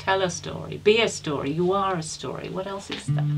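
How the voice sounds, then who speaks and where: Music playing behind a woman's moderately paced speech. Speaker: storyteller. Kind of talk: interview answer.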